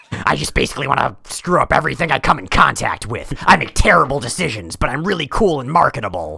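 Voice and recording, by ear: In a gruff, growling put-on character voice at a low-to-middle pitch, someone races along at a very fast pace with hardly any pauses.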